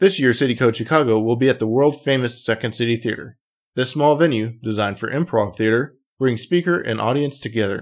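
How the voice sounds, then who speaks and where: The recording is very clean, with a silent background. An unremarkable speaking voice talks at a fairly quick pace, its pitch varying in an ordinary way. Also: man, medium pitch for a man. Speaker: podcast host. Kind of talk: interview, with read sponsor ads.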